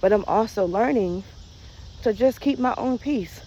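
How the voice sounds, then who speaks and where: A soft-spoken woman with a dark, mellow tone talks at a moderate pace. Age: 40s. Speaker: vlogger. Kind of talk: casual chat.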